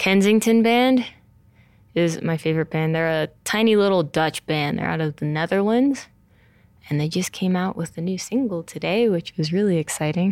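An unremarkable speaking voice belongs to a woman with an American accent. Her pitch is fairly low, with ordinary variation. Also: moderate pace. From New Jersey, US (Montclair). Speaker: pro mountain biker. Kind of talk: interview.

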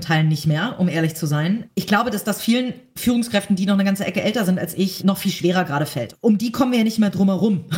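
Noticeable background noise surrounds a woman talking at a very fast pace. Her pitch is medium with ordinary variation. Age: 30s. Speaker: entrepreneur and magazine publisher. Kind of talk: interview.

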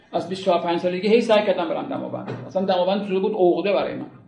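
A man speaks fairly quickly at a high pitch. Audible room echo surrounds his voice. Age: 60s. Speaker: art history lecturer. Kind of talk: lecture.

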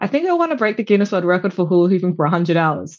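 Against a quiet background, an animated woman speaks in an Australian accent with lively intonation. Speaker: endurance cyclist and hula hooper. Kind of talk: casual interview chat.

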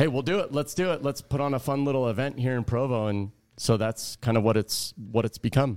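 The pace here is fairly quick. What you hear is an ordinary speaking voice. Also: man, medium pitch for a man, ordinary pitch variation, very clean recording, silent background. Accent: American. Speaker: college volleyball coach. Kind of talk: casual interview.

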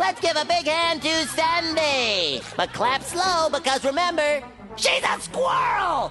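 Shouting in a high-pitched put-on character voice at a fairly slow pace, the speaker is backed by clear music. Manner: loud, yelling with vocal fry.

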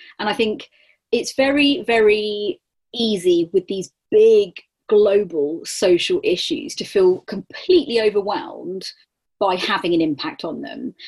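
At a fairly high pitch, a woman talks with very wide pitch swings. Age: 30s. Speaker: motorsport communications and marketing professional. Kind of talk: interview.

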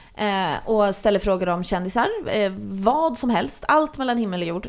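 Ordinary pitch variation from a woman, on a very clean recording with a silent background. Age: 20s. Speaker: podcast host. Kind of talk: casual chat.

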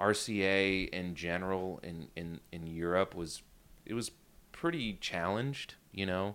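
Speaking at a fairly slow pace, a man with an American accent has a fairly low pitch and an ordinary speaking voice. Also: very clean recording, silent background. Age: 30s. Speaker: rock musician and producer. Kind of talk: casual interview chat.

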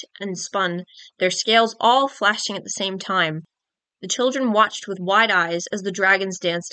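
The pitch rises and falls in an ordinary way. Plain reading aloud comes over quiet surroundings.

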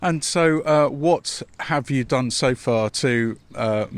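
The recording is very clean and the background silent. A man talks with fairly even intonation. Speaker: podcast host. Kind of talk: interview. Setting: outdoors.

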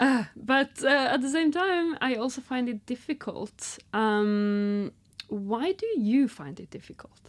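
A woman speaks at a high pitch with lively intonation and a very slow pace. Her loudness swings widely. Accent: Norwegian. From northern Norway. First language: Norwegian. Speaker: podcast host. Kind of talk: casual interview chat. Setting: studio.

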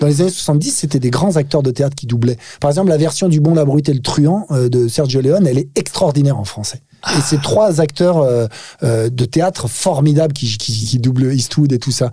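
A man speaks in a plain, everyday voice, pitched fairly high, with ordinary pitch variation. His pace is moderate. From France, Paris suburbs (Nanterre). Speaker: actor. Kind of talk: casual chat. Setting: studio.

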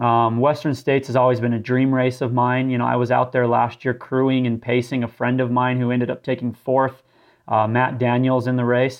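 A man speaks with an American accent at a fairly quick pace. His intonation is flat and monotone. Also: medium pitch for a man. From southern Utah, US. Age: 20s. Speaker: ultramarathon runner. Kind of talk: interview. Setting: remote call from home.

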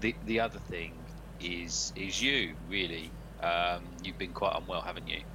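The speaker talks at a fairly slow pace with a British accent, the pitch swinging very widely. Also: man, very deep, low pitch for a man. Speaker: football podcast host. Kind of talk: casual chat.

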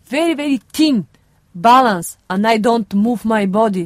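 A woman's fairly high voice with a Bulgarian accent, in a dry, close sound with no echo. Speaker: circus performer. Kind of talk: interview.

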